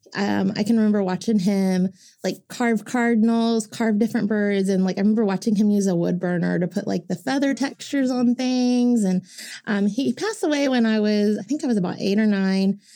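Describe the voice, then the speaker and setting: A woman with an American accent speaks at a fairly quick pace, her pitch fairly high and her tone dark and mellow. Her loudness stays very even, pitch variation is ordinary, and the recording is very clean with a silent background. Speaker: Native artist and community outreach director. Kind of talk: casual interview.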